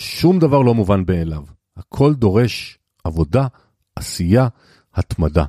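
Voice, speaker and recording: A man with a fairly low pitch and a dark, mellow tone speaks at a very slow pace with long, frequent pauses and very wide pitch swings. The recording is very clean with a silent background and a dry, close sound with no echo. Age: 60s. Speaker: financial podcast host and consultant. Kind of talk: solo monologue.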